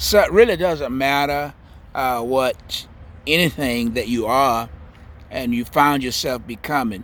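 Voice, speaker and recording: A man talks in a Southern US accent. His pitch is medium and his pace fairly slow. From US South, Central Florida. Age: 70s. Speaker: spiritual vlogger. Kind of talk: spiritual monologue. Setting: outdoors, in a garden.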